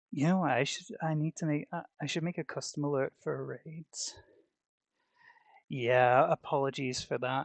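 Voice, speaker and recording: The speaker is soft-spoken. The pace is moderate. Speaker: streamer. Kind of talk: casual live stream chat. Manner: halting. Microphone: headset mic cutting out.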